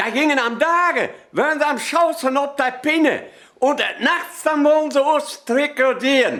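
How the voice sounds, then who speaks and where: A man with a Sauerland accent speaks at a fairly slow pace, with fairly even intonation and very even loudness. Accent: Sauerland Low German dialect. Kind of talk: humorous dialect anecdote telling.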